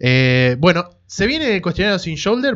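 With an unremarkable speaking voice, a man talks at a fairly slow pace and with lively intonation over a quiet background. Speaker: podcast host. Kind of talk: casual chat.

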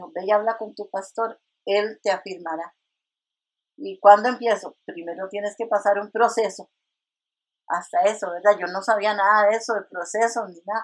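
Her loudness swings widely as a woman with an unremarkable speaking voice speaks at medium pitch and a moderate pace with fairly even intonation. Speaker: retired nurse and church minister. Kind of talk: testimony.

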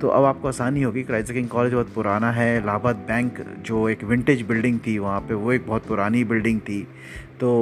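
Talking at a moderate pace, a man keeps a medium pitch and fairly even intonation. Noticeable background noise can be heard. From Jhansi, Bundelkhand, India. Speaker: local city podcaster. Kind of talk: descriptive guided tour narration. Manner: casual, heavy Hindi-English code-switching.

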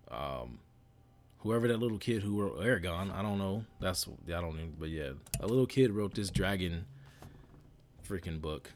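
The intonation is lively. Long pauses come often. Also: man, very deep, low pitch for a man, moderate pace. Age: 30s. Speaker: podcast host. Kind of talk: casual solo monologue. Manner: rambling with fillers.

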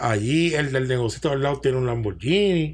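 A man with a Puerto Rican accent speaks in a medium pitch, somewhat breathy, with lively intonation. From Puerto Rico. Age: 40s. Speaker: chef. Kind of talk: casual chat.

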